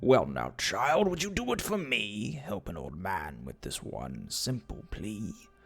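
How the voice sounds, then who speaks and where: Faint music plays behind a man doing a put-on character voice at a fairly low pitch, talking at a fairly slow pace with hardly any pauses. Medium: read story. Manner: warm, gently coaxing.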